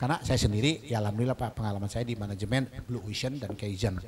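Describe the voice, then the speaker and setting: A man's somewhat breathy, medium-pitched voice at a very fast pace, with ordinary pitch variation. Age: 60s. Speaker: religious leader of a study assembly. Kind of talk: speech at an inauguration event. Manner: animated.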